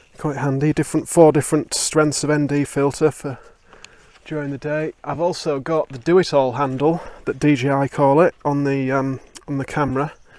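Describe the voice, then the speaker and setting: A man speaks with a Yorkshire accent at a moderate pace. His fairly high voice stays monotone, with flat intonation. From Yorkshire, northern England. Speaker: hiking vlogger. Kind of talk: casual vlog to camera. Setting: outdoors on a mountain trail. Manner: casual, hesitant with fillers.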